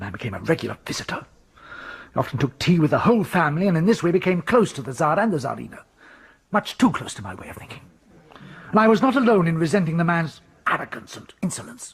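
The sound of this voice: Using a put-on character voice, a man speaks fast at a fairly high pitch with a slightly husky edge. His pitch swings are big.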